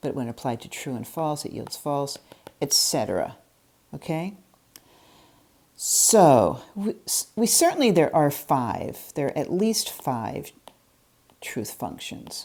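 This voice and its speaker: Very deep and low in pitch, a woman's voice has a dark, mellow tone and very wide pitch swings. She talks at a very slow pace with long, frequent pauses. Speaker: logic lecturer. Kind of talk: lecture. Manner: halting, many fillers.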